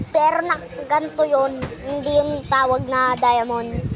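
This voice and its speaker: Over noticeable background noise, a woman speaks at a high pitch with ordinary pitch variation. Her pace is fairly slow, with long, frequent pauses. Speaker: gaming youtuber. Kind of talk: casual gaming chat. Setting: in gaming chair at home.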